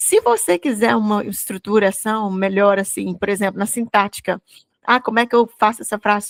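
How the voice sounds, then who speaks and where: A woman with a Goiás accent at fairly high pitch, with ordinary pitch variation and a moderate pace, in a dry, close sound with no echo. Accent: Goiás Brazilian Portuguese (caipira r). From Brazil, Goiás. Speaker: English teacher. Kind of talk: bilingual Bible study lesson. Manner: conversational, with frequent fillers and repetitions.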